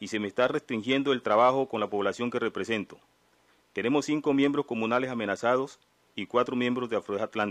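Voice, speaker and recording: A man with a normal speaking voice at medium pitch, ordinary pitch variation and a fairly quick pace. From Colombia, Nariño (Pacific south). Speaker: community leader, law student. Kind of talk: testimony at formal hearing.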